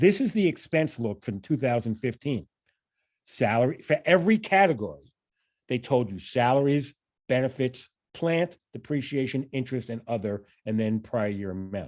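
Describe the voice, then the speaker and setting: With a New York accent, a man speaks at a medium pitch and a moderate pace using lively intonation. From New York, Long Island. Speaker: financial analysis trainer, professor. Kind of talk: training presentation.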